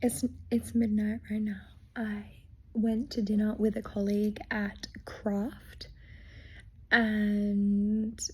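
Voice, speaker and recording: In an Australian accent, a woman speaks at a very slow pace. Her voice is somewhat breathy. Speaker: vlogger. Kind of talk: casual vlog talk. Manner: halting, interrupted by hiccups.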